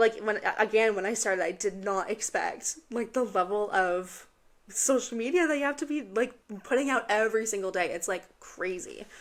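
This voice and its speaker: Animated in tone, a woman speaks at a fairly high pitch with ordinary variation in a very clean recording with a silent background. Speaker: podcast host. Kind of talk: casual chat. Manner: fast.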